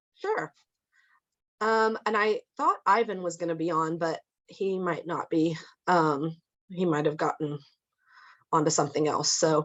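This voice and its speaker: Speaking with a Midwestern American accent, a woman talks at a fairly slow pace with ordinary pitch variation and long, frequent pauses. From Kansas, Lawrence. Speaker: social services program manager. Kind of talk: presentation.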